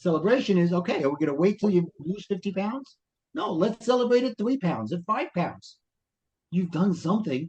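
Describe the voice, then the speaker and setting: Using a Brooklyn accent, a man talks at a moderate pace in a high pitch with lively intonation. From Brooklyn, New York. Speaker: life coach and author. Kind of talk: podcast interview.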